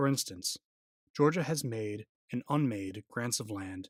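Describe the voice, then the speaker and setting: In a dry, close sound with no echo, a man's intonation is lively. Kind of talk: ASMR reading of a court opinion. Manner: soft-spoken, calm, sleep-inducing.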